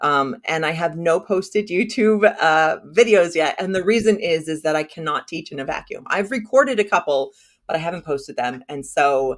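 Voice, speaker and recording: Animated in tone, a woman with a fairly low pitch speaks at a moderate pace with an American accent. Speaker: funnel strategist, business owner. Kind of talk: interview, casual chat.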